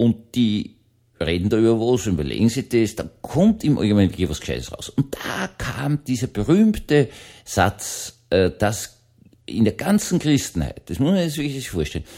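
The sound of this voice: At a moderate pace, a man speaks with a dark, mellow tone, a fairly low pitch and big pitch swings.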